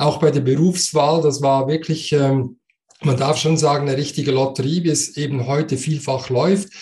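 The voice has a dark, mellow tone and is somewhat breathy, with a Swiss German accent. It moves at a fairly slow pace with fairly even intonation. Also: man. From Switzerland. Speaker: coach and speaker. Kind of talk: interview.

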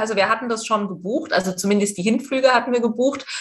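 Noticeable background noise sits behind a woman speaking very fast. Her pitch is fairly high, with ordinary variation. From eastern Germany. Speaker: presenter and journalist. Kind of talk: interview.

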